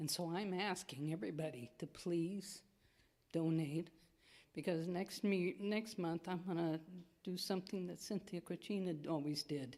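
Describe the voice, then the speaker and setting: A woman speaks at a moderate pace with ordinary pitch variation. Her fairly low voice has a dark, mellow tone. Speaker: congregation member announcing food pantry drive. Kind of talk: church announcement. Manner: loud.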